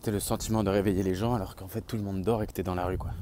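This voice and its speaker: A man speaks very fast in a dark, mellow tone with fairly even intonation. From southern France. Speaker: vlogger. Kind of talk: casual vlog. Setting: outdoors on the street.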